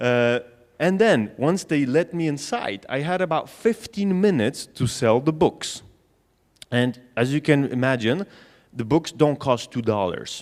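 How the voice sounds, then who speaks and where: With a Polish accent, a man speaks at a moderate pace in a medium pitch. His intonation is lively. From Poland. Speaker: sales trainer. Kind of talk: conference talk. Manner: conversational.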